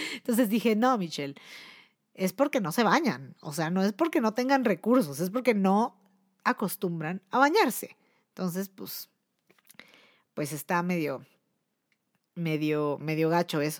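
An animated tone in a Mexico City accent, with very wide pitch swings, comes at a fairly slow pace. Long, frequent pauses fall within a dry, close sound with no echo. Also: woman, medium pitch for a woman. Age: 30s. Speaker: podcast host and musician. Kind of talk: casual chat. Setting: live stream.

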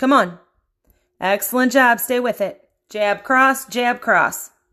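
Speaking at a very slow pace, a woman with a high pitch and ordinary pitch variation is heard over a quiet background. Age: 40s. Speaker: fitness instructor. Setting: workout session led for a group. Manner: loud, high-energy, commanding and encouraging, with countdowns.

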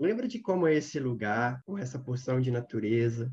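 With a somewhat breathy sound, a man talks in a dark, mellow tone. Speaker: social responsibility consultant. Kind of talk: guided meditation; casual chat.

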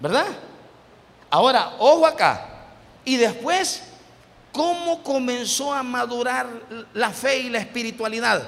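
A man's extremely high-pitched voice with lively intonation, at a very slow pace with long, frequent pauses. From El Salvador. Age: 50s. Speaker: pastor. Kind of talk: sermon. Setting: church.

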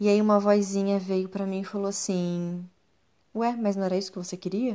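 A woman's medium-pitched voice, dark and mellow in tone. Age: 30s. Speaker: therapist and podcast host. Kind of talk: personal monologue podcast. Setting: recording alone at home at night.

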